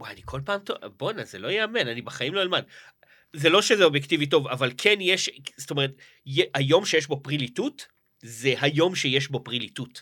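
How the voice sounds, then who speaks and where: Bright and sharp in tone, a man's fairly high voice moves at a fairly quick pace with lively intonation and big swings in loudness. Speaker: podcast co-host, comedian. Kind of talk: casual chat.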